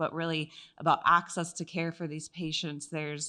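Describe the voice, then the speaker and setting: A woman's fairly low voice, bright and sharp in tone, with a slight Wisconsin accent. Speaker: oncology pharmacist. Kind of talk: medical conference lecture. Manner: halting with frequent fillers.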